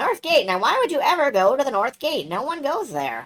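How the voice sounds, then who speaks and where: This is a put-on character voice that sounds female. It is high-pitched and delivered at a fairly quick pace. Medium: game stream. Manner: sly, chatty, folksy.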